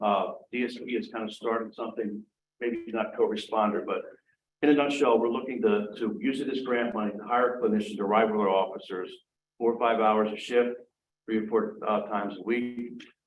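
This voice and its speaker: A man's medium-pitched, flat monotone at a fairly quick pace, with audible room echo. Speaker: police chief. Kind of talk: council meeting report. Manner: fast; halting, many fillers.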